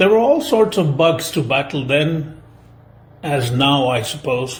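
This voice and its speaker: Speaking with a Gujarati accent, a man has a fairly high pitch and a somewhat breathy voice. His pace is fairly slow. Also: ordinary pitch variation. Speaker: film commentator. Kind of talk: spoken film essay.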